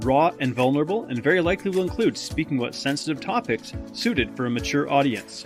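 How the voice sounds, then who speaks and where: A man with a fairly high pitch talks at a very fast pace with lively intonation, music playing in the background. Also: hardly any pauses. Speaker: podcast host and coach. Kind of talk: podcast intro.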